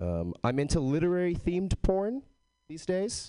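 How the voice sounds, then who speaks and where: A man's dark, mellow tone in an American accent, swinging very widely in pitch, against a quiet background. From Texas. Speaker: comedian. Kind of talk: stand-up.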